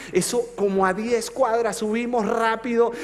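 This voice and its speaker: Intonation stays fairly even. Noticeable background noise sits under the speech. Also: man. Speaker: pastor. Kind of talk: sermon. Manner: slow.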